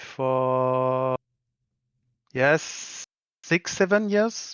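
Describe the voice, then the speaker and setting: The voice carries a French accent and ordinary pitch variation. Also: man. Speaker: commission miniature painter. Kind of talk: casual interview. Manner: halting, searching for words.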